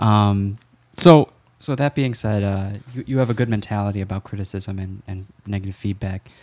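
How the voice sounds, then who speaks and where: A man's plain, everyday voice at a fairly low pitch, with ordinary pitch variation and a moderate pace, in a very clean recording with a silent background. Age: 30s. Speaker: podcast host, healthcare provider. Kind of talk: casual interview chat.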